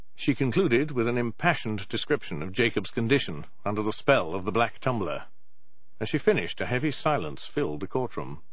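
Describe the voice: A man speaks at a fairly low pitch and a fairly quick pace. His intonation is lively.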